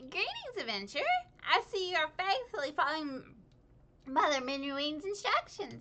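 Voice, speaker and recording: The speaker uses a high-pitched, put-on character voice. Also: moderate pace. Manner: chipper.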